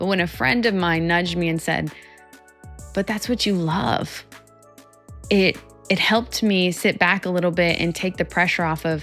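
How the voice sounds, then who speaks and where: A woman at fairly low pitch and a moderate pace, fairly even intonation, long, frequent pauses and music in the background. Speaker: psychologist and keynote speaker. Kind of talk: motivational talk to camera.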